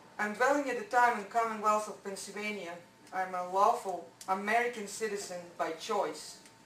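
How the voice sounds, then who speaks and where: Amid noticeable background noise and audible room echo, a woman with a non-native accent speaks at a medium pitch and moderate pace, her intonation fairly even and her loudness swinging widely. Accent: foreign. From born abroad. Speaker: resident speaking at public comment. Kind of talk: public comment at council meeting. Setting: council meeting. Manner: halting.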